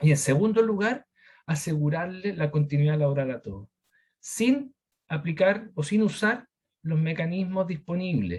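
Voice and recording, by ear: With big pitch swings and a slightly mellow tone, a man speaks at a moderate pace in a fairly high pitch.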